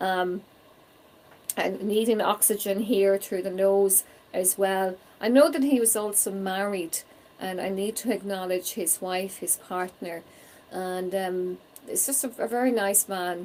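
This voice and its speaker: With a Donegal Irish accent, a woman speaks in a warm tone at a fairly slow pace. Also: medium pitch for a woman, fairly even intonation. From Ireland. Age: 40s. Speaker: psychic medium. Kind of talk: live spirit reading stream. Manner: warm, conversational.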